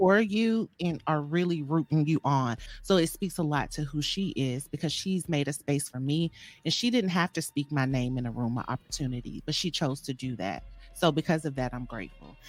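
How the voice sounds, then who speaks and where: In a very clean recording with a silent background, a woman with a Southern US accent speaks in a very deep, low pitch with lively intonation. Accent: Southern drawl. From US South, Atlanta, Georgia. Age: 40s. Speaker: podcast guest. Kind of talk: casual chat.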